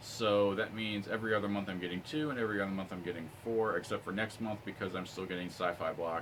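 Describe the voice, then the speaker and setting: This man has a fairly low pitch and talks at a very fast pace. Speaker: YouTube unboxing reviewer. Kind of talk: casual vlog review.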